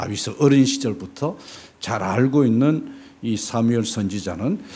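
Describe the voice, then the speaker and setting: A man speaks at a very slow pace. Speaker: missionary preacher. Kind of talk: sermon. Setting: church.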